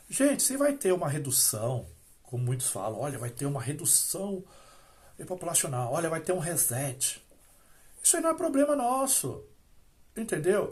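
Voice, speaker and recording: A man with a high pitch speaks at a moderate pace, with long, frequent pauses. His pitch swings very widely. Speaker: religious YouTuber, former Jehovah's Witness critic. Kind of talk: solo video monologue on religion. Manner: hesitant, many fillers and restarts; speaks loudly after briefly lowering voice.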